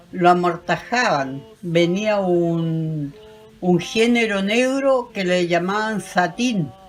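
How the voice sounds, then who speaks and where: A woman speaks very slowly at a fairly low pitch, her intonation lively. Music plays in the background. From Chiloé, southern Chile. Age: 80s+. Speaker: elderly local interviewee on traditions. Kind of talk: interview recounting traditions.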